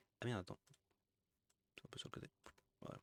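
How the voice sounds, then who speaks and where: A man's voice, somewhat breathy. It is recorded dry and close, with no echo at all. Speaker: streamer reacting to videos. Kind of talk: casual live commentary. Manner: hesitant, many fillers.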